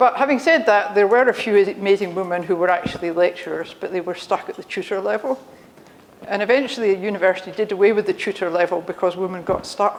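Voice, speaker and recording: Over noticeable background noise, a woman in a Scottish accent talks at a very fast pace. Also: medium pitch for a woman, ordinary pitch variation. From Scotland. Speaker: engineering professor. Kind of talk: conference talk. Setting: stage with audience. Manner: conversational.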